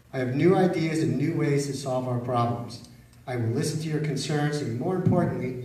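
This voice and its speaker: Someone with an American accent speaks at a moderate pace with fairly even intonation. There is audible room echo and noticeable background noise. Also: man. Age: 60s. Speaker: mayoral candidate. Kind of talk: campaign opening statement. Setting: public forum with live audience.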